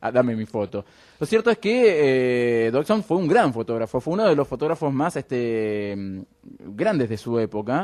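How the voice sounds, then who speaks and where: A man speaks in an ordinary speaking voice at a moderate pace, his medium pitch rising and falling in lively intonation, with a dry, close sound and no echo. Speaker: radio show co-host. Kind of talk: casual chat.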